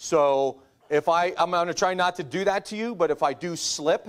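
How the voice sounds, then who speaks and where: A man with an ordinary speaking voice talks at a fairly high pitch and a moderate pace. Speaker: navy officer. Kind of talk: lecture.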